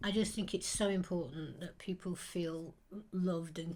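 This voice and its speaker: A woman's somewhat breathy voice sits fairly low in pitch, with a dark, mellow tone. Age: 70s. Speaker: community food volunteer. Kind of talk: interview testimony.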